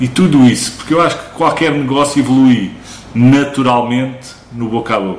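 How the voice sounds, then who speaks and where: Noticeable background noise and audible room echo surround the recording. A man with a medium pitch speaks at a moderate pace, with fairly even intonation. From Portugal, Barreiro (Lisbon area). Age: 40s. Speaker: small business owner, laser engraving workshop. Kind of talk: casual interview chat.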